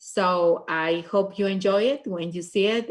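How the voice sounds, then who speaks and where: A woman with a Peruvian accent, fairly even intonation and a fairly slow pace. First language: Spanish. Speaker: state legislator. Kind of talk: panel discussion.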